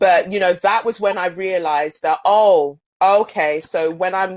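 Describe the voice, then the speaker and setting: A woman's fairly low voice with fairly even intonation, in a South London accent. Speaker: pole dance studio owner. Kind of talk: panel discussion.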